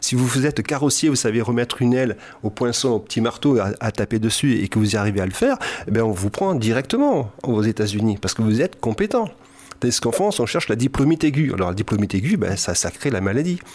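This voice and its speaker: The speech runs at a very fast pace with very even loudness. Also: man, medium pitch for a man, lively intonation. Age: 60s. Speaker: hypnotherapist and psychoanalyst. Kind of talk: radio interview. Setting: radio studio.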